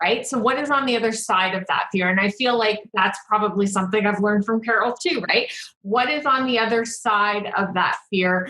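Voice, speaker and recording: A woman's unremarkable speaking voice, fairly high in pitch with ordinary pitch variation, at a moderate pace with very even loudness and hardly any pauses. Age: 30s. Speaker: business coach. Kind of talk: casual chat.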